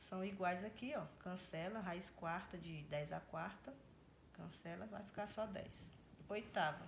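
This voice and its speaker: A somewhat breathy woman at a fairly slow pace, with audible room echo. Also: medium pitch for a woman, ordinary pitch variation. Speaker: math teacher. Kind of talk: tutorial.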